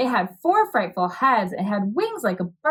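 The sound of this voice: This is an unforced reading voice. Nothing else stands out.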